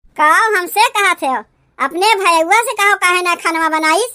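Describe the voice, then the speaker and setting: A woman uses a cartoonish character voice, squeaky and extremely high in pitch. She goes at a moderate pace with ordinary pitch variation. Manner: mocking, rustic dialect.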